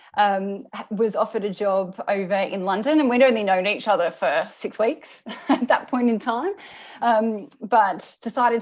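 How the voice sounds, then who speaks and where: A woman with a strong Australian accent, medium pitch and ordinary pitch variation, over a quiet background. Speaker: senior product manager in motorsport. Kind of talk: interview. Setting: video call. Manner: halting, many fillers.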